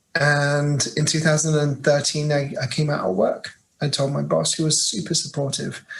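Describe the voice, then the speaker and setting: A man speaks with a British accent. His fairly high voice moves at a moderate pace. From England, Birmingham. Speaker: LGBTQ+ staff leader at an international organization. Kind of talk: interview. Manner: halting, many fillers.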